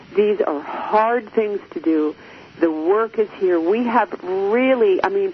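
A woman speaks at a medium pitch, her voice swinging very widely up and down. Noticeable background noise runs underneath. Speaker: radio host and relationship coach. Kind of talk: live radio talk show monologue. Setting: studio. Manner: gets loud when excited.

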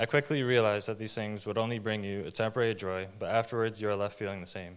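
A man speaks very fast at a fairly low pitch, with fairly even intonation. The recording is very clean, with a silent background. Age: 20s. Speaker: baptism candidate. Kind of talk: testimony. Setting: church.

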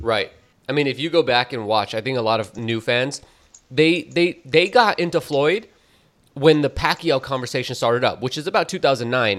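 With a plain, everyday voice, a man speaks at a moderate pace and medium pitch, using lively intonation. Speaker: podcast host. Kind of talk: casual chat.

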